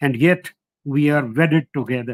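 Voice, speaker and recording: A man speaks with a Punjabi accent and ordinary pitch variation. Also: dry, close sound with no echo. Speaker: historian, professor. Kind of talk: lecture. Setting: online lecture. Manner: halting, with fillers.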